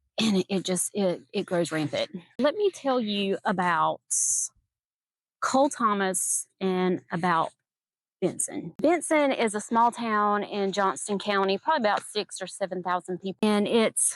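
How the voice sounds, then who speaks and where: A woman speaks fairly slowly at a medium pitch with lively intonation. The sound is dry and close with no echo, over a quiet background. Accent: Southern. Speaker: gardening and true crime YouTuber. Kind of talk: casual vlog chat with storytelling. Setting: outdoors in a garden. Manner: casual, hesitant with fillers.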